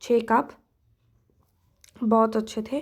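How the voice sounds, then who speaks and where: Over a silent background in a very clean recording, a woman speaks with a dark, mellow tone. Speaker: vlogger. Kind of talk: casual vlog narration.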